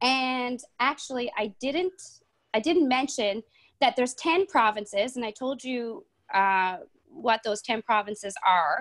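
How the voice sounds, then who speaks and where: In a very clean recording with a silent background, a woman speaks at a high pitch. Her pace is fairly slow and her intonation lively. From Newfoundland, Canada. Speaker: stand-up comedian and lawyer. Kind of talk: casual chat in an English conversation club. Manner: many fillers (um, uh).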